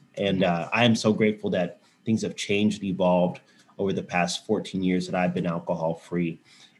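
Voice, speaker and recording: A man speaks with a Texan accent. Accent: Texan American. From Texas, Houston. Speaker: sober bar owner and counsellor. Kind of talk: testimony in interview.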